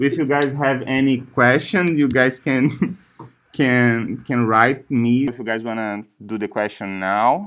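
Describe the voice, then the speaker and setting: In a very clean recording with a silent background, a man with a strong non-native accent speaks at a fairly slow pace and a medium pitch, with ordinary pitch variation. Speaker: software trainer. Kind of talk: training session. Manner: halting.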